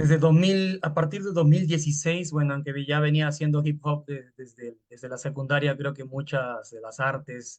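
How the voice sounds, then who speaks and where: A man with a fairly high voice speaks at a moderate pace with hardly any pauses. His intonation is fairly even, but his loudness swings widely. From Peru, Lima (San Juan de Lurigancho). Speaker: hip hop artist. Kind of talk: panel talk. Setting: video call. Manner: halting.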